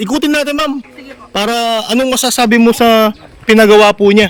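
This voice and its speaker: His pitch moves in an ordinary way. The man keeps up a fairly quick pace. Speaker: vlogger showing a customized vehicle. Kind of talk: casual on-site vlog interview. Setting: outdoors at a vehicle body shop. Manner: animated.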